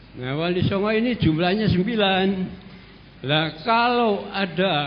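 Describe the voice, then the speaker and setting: A man speaks at a fairly slow pace with lively intonation, and the room echo is audible. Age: 70s. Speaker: audience member asking a question. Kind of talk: question at a religious study session. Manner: halting.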